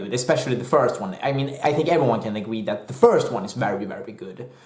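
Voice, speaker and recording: A man speaks at a very fast pace with a Swedish accent. Room echo is audible. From Sweden. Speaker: movie reviewer. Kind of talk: casual video review. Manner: hesitant, many fillers; animated.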